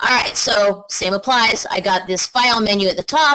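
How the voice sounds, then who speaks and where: A woman at a medium pitch speaks with a bright, sharp tone and ordinary pitch variation. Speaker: webinar presenter on building energy codes. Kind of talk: webinar tutorial. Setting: online webinar. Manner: fast; casual, with fillers.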